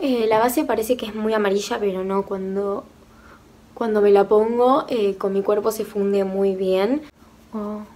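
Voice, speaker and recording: With a Rioplatense accent, a woman speaks at a fairly slow pace. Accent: Argentine Rioplatense Spanish. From Argentina. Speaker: beauty youtuber; beauty vlogger. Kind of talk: makeup tutorial review. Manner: animated. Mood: enthusiastic, impressed. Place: home room. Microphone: phone near.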